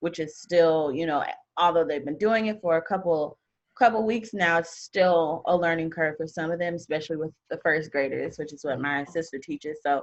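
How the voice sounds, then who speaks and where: In an unremarkable speaking voice with an American accent, a woman of fairly low pitch talks at a moderate pace with ordinary pitch variation over a quiet background. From St. Louis, Missouri. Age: 20s. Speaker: blogger and podcaster. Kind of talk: casual chat.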